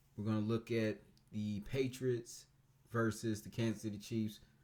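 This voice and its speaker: The voice is quiet, with a dark, mellow tone and fairly even intonation. It moves at a moderate pace. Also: man. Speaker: sports reviewer. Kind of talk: casual game review monologue. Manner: quiet, low-key; hesitant, many fillers.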